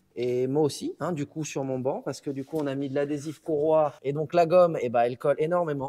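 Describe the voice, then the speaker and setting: A man with a fairly high pitch speaks at a moderate pace. His tone is dark and mellow. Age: 20s. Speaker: dyno tuner. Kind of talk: casual chat.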